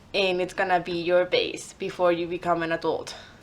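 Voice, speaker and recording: A woman with a Spanish accent speaks at a medium pitch. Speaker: vlogger. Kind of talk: casual vlog monologue. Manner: hesitant with fillers.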